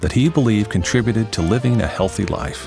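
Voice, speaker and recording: Music plays in the background while a man talks at a moderate pace. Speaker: voice actor. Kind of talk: corporate narration.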